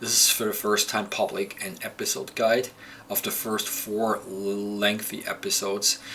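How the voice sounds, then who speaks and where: Fairly slow speech from a man amid noticeable background noise. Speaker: comic and animation creator. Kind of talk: video walkthrough commentary. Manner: halting; casual.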